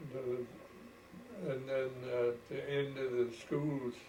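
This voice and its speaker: Noticeable background noise and audible room echo surround a voice with fairly even intonation. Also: man. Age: 90s. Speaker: elderly farmer recalling the past. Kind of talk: oral history interview.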